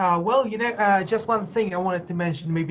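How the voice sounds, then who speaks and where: The speaker has a Polish accent and talks at a fairly quick pace. The background is quiet. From Poland. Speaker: student. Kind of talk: casual chat. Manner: halting, many fillers.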